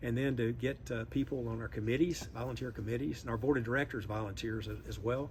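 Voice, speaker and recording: With a Southern US accent, a man talks at a fairly quick pace in a medium pitch, his intonation fairly even and his voice showing vocal fry. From US South, Memphis, Tennessee. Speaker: industry association executive. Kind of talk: interview. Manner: halting.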